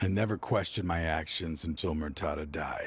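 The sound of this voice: A man's put-on character voice, extremely low-pitched with a husky, rough edge, at a moderate pace with ordinary pitch variation, in a very clean recording with a silent background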